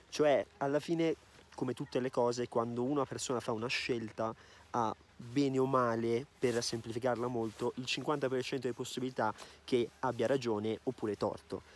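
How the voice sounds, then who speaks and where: A man speaks with medium pitch and monotone, flat intonation at a moderate pace. The sound is dry with no echo, over light background noise. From Veneto, northern Italy. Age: 20s. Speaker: YouTuber. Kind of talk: casual Q&A vlog. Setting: outdoors on ski slopes. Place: open country. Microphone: phone near.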